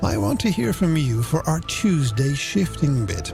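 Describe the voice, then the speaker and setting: A man at fairly high pitch with very wide pitch swings, music in the background. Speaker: radio presenter, voice actor. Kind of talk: late-night radio show presenting. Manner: warm, relaxed, friendly.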